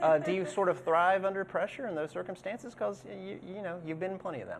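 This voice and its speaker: A man speaks. He has a Southern US accent. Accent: Southern country town. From Plant City, Florida. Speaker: sports show co-host. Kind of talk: casual interview. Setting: indoor studio. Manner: halting.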